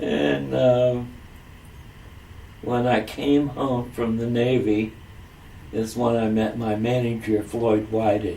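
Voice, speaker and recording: At a very slow pace with long, frequent pauses, a man speaks at a medium pitch with ordinary pitch variation, amid audible room echo and noticeable background noise. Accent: American. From US Midwest, Springfield, Ohio. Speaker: singer, Navy veteran. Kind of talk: oral history interview. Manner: halting, many fillers.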